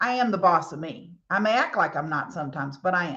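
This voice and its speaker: Speaking at a moderate pace with a Southern US accent, a woman swings her pitch very widely. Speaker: cosmetics sales leader and former engineer. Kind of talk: motivational talk.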